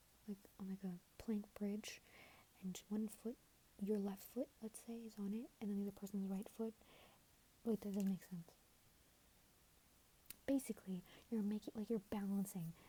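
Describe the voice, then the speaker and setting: A woman's soft-spoken, somewhat breathy whispering at a moderate pace, with long, frequent pauses. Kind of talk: asmr relationship advice rambling. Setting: headphone microphone, home recording. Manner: soft-spoken, whispery.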